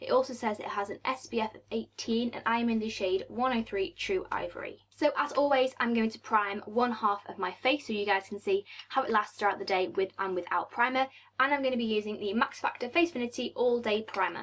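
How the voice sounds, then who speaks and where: A woman with a British accent talks at a fairly quick pace, her fairly high pitch moving with ordinary variation. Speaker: beauty vlogger. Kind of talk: makeup tutorial and review. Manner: casual, chatty.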